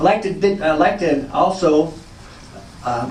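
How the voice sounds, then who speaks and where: Lively intonation comes at a moderate pace, with audible room echo and noticeable background noise. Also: man. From Northern California. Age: 60s. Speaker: former college football player. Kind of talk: pre-game speech.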